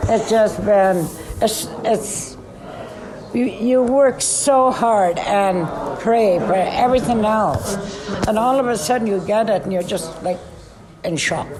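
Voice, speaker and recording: In a Canadian accent, a woman with a fairly high voice speaks at a very slow pace with long, frequent pauses and ordinary pitch variation, over noticeable background noise. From Alberta, Canada. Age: 80s+. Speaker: Métis elder, residential school survivor. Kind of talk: interview answer. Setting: recorded on location.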